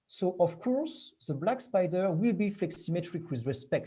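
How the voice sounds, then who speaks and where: A man's high voice, dark and mellow in tone, moves through very wide pitch swings. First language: not English. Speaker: researcher giving a talk. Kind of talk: lecture. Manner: halting.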